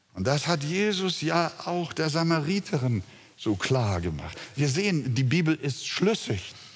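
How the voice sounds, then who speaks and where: Against noticeable background noise, the speaker moves at a fairly slow pace with very wide pitch swings. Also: man, fairly high pitch for a man. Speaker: preacher. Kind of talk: sermon, expository preaching with congregational call-and-response. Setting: church with congregation. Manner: fervent, emphatic, rising to exultant; rhetorical, addresses listeners directly.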